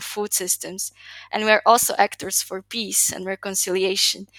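A woman with a Slovak accent speaks at a medium pitch and a moderate pace, her tone bright and sharp. Her intonation is monotone and flat, in a very clean recording with a silent background and a dry, close sound with no echo. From Slovakia. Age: 20s. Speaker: youth development advocate. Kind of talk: interview.

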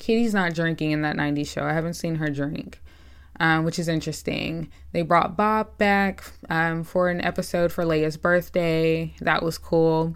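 In a very clean recording with a silent background, a woman with a normal speaking voice talks at a moderate pace, her fairly low pitch held in fairly even intonation. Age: 20s. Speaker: YouTuber reviewing TV shows. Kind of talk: casual rant review.

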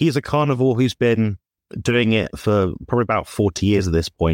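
A man with an ordinary speaking voice talks at a fairly quick pace, fairly low in pitch with ordinary pitch variation. The sound is dry and close with no echo, and the recording is very clean with a silent background. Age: 20s. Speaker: carnivore diet content creator. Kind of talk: casual livestream panel discussion.

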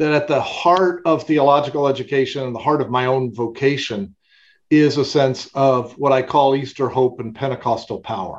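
It's an ordinary speaking voice, a man's, fairly high in pitch with fairly even intonation. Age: 60s. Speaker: theologian and university president. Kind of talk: interview.

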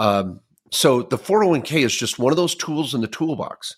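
With vocal fry and very wide pitch swings, a man speaks at a moderate pace in a fairly high voice, captured in a very clean recording against a silent background. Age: 50s. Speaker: podcast co-host and tax lawyer. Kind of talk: casual financial advice chat. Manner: animated.

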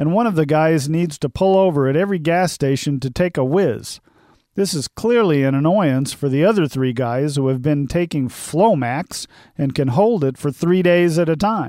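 A man with a normal speaking voice talks at a moderate pace, his pitch fairly high with ordinary variation. The recording is dry and close, without echo. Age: 50s. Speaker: humor columnist and accountant blogger. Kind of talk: scripted humorous monologue.

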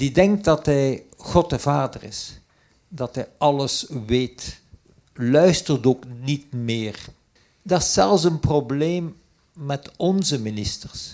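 Intonation from this man is lively. He takes his words at a very slow pace. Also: fairly high pitch for a man. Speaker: emeritus professor. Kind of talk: panel discussion.

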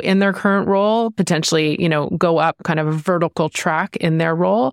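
A woman with a plain, everyday voice talks at a fairly quick pace, her fairly low pitch showing ordinary variation. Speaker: podcast co-host and consultant. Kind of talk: casual podcast conversation.

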